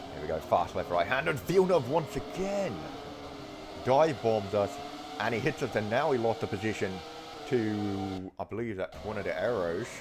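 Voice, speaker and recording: A fairly low-pitched man with very wide pitch swings at a moderate pace, amid noticeable background noise. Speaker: gaming video creator. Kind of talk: live gameplay commentary. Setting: at home. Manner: soft-spoken.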